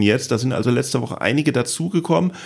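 A man speaks in an ordinary speaking voice at a medium pitch. His intonation is lively. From Palatinate, Germany. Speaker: podcast host and comedian. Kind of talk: casual chat. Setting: home office.

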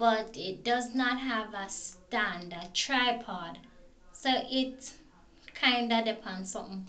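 With a bright, sharp tone and big swings in loudness, a woman speaks very slowly at a fairly high pitch with ordinary pitch variation. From Jamaica. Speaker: vlogger. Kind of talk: casual talk to camera. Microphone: phone near.

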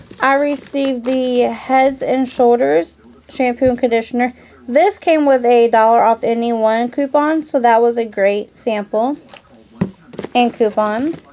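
High-pitched, a woman speaks at a fairly slow pace with ordinary pitch variation and very even loudness. Noticeable background noise sits behind her. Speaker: couponing vlogger. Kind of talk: product show-and-tell vlog.

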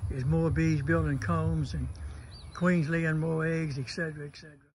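A man's voice rises and falls with big swings in loudness. Audible room echo surrounds it. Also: moderate pace. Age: 80s+. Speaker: beekeeper. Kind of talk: casual video talk.

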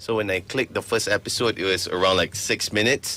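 The man talks at a moderate pace. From Malaysia. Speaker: radio host. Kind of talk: radio interview. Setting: radio studio. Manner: animated. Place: studio.

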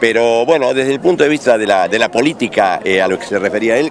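Speech at a very fast pace with lively intonation comes through dry, with no echo, over light background noise. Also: man. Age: 70s. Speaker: former mayor, local politician. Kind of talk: street interview. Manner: halting, repetitive. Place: street. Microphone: handheld.

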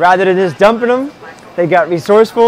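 A man speaks with a high pitch, ordinary pitch variation and a fairly quick pace. The sound is dry with no echo, and there is light background noise. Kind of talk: interview answer. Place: market. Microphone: lapel.

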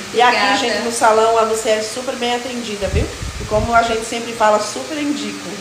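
A woman's fairly high voice at a very fast pace, with fairly even intonation, over noticeable background noise. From São Paulo, later many years in Alagoas; São Paulo, Brazil. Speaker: household employee and social media influencer; social media influencer. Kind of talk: casual vlog stories.

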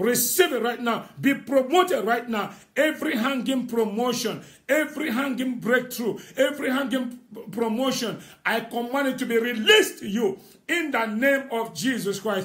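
Against a quiet background, a man talks at a moderate pace. His pitch shows ordinary variation. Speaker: prophet leading online prayer. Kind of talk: fervent prophetic prayer declaration over listeners. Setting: Facebook live stream. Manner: emphatic and rousing, urging listeners on. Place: home room. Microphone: phone near.

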